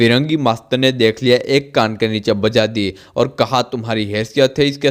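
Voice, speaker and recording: With fairly even intonation, a man speaks at a medium pitch in a normal speaking voice. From India, Gujarat. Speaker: motivational speaker. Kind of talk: biographical storytelling.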